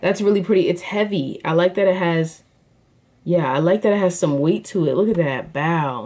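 The tone is animated, with lively intonation. The pace is moderate. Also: woman. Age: 20s. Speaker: YouTuber, product reviewer and college student. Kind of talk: casual product review vlog. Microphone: phone near.

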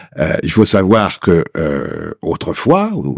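With lively intonation, a man speaks at a very deep, low pitch in a dry sound with no echo over a quiet background. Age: 70s. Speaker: Paris secondhand bookseller. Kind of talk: interview. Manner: animated. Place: studio. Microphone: studio mic.

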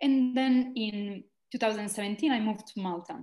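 Against a quiet background with audible room echo, a woman speaks with ordinary pitch variation. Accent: Italian. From Italy. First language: Italian. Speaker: social entrepreneur and university lecturer. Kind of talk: interview conversation. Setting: video call. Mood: warm, reflective. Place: home room. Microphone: video call.

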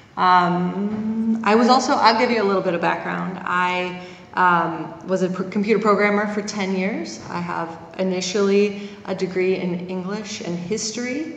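A woman at a fairly slow pace with fairly even intonation, amid audible room echo and light background noise. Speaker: conference presenter. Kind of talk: lecture. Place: hall. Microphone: handheld.

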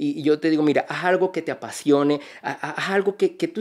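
With a Venezuelan accent, a man speaks at a very fast pace and a fairly high pitch, using ordinary pitch variation. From Venezuela, Barinas. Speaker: energy consultant and entrepreneur; podcast guest. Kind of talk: interview. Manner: halting, many repetitions. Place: studio. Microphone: studio mic.

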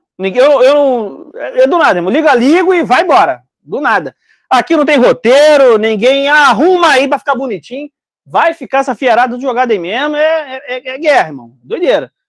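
At a moderate pace and in an animated tone, the voice comes through with a dry sound, no echo, and a quiet background. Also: man, extremely high pitch for a man. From Brazil. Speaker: online business educator and importer; online business educator. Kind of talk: live stream casual chat with audience. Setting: live stream video call with group. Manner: casual, talkative, animated. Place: shop. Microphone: lapel.

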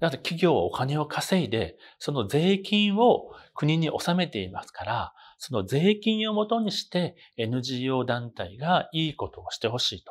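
Fairly slow speech from a man with a fairly high pitch, very wide pitch swings and big swings in loudness. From Osaka, Japan. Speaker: university professor. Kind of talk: lecture. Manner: formal. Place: classroom. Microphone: lapel.

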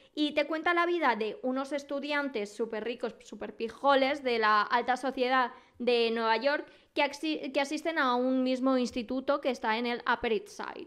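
Her high-pitched voice shows ordinary pitch variation as the woman speaks. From Spain. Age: 20s. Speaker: podcast host. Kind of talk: casual solo podcast monologue. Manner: animated.

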